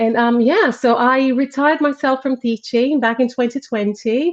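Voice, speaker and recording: A woman in a Brazilian accent speaks at a moderate pace. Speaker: parenting coach and former teacher. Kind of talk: casual livestream interview. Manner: hesitant, many fillers.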